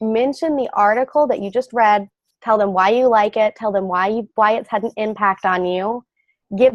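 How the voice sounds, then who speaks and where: A Southern US accent, energetic in tone, at a moderate pace with ordinary pitch variation, in a dry, close sound with no echo. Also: woman. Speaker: publicity and branding expert. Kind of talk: interview.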